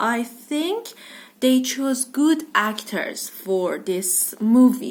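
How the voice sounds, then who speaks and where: A woman with a high pitch speaks at a very slow pace, her intonation lively. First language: non-English. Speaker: book vlogger. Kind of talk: casual book review vlog. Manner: hesitant, many fillers.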